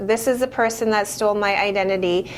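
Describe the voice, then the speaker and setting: A woman with a fairly high pitch speaks in an animated tone at a moderate pace. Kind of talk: casual chat. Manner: loud.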